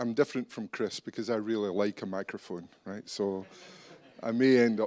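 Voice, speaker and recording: A man with a Scottish accent speaks at a moderate pace and medium pitch with ordinary pitch variation, in a very clean recording with a silent background. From Scotland. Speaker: business executive. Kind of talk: conference talk.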